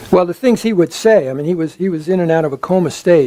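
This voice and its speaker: A man with a high-pitched voice speaks at a very fast pace, with ordinary pitch variation over noticeable background noise. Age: 70s. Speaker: psychologist and psychedelic speaker. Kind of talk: lecture Q&A answer. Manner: halting, many repetitions.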